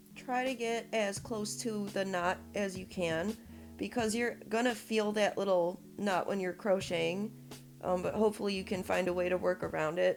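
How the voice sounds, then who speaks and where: With music playing in the background, a woman talks at a moderate pace in a medium pitch. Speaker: crochet tutorial maker. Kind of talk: instructional tutorial voiceover. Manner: casual, encouraging.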